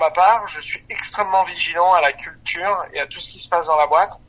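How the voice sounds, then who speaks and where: This man's voice sits high in pitch, and he keeps his intonation fairly even at a moderate pace. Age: 30s. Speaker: startup founder and CEO. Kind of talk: interview.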